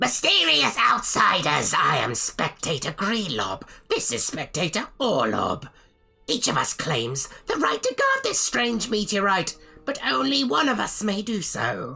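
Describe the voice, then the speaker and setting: Over faint background music, a put-on character voice with fairly high pitch moves at a fairly slow pace. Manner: telepathic, formal.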